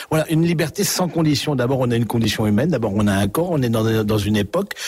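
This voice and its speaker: A man at a very fast pace with lively intonation. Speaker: priest, author and former prison chaplain. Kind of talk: radio interview. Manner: hesitant, with frequent fillers and repetitions.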